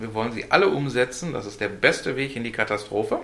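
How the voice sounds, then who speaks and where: Speaking with a Ruhr accent at a fairly quick pace, a man has a bright, sharp tone. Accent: Ruhr German, clearly audible. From Ruhr area, Germany (Essen). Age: 40s. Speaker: podcast host. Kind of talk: casual chat.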